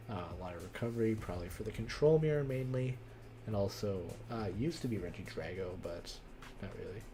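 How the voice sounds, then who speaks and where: A man talks very fast in a fairly low, dark, mellow voice that is somewhat breathy. His intonation is lively, and the room echo is audible. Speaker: card game streamer. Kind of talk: live stream commentary. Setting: live stream.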